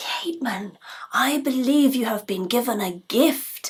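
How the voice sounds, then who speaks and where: A woman does a put-on character voice with a high pitch and lively intonation. Her pace is fairly slow. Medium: stage play. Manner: warm, measured.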